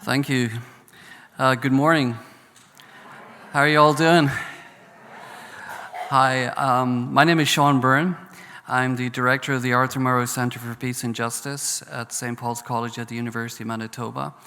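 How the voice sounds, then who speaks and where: With a Northern Irish accent, a man talks at a medium pitch. His intonation stays fairly even, and he leaves long, frequent pauses. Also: moderate pace. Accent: Northern Irish brogue. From Northern Ireland. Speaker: professor, peace studies centre director. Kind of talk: panel talk. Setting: conference stage with audience.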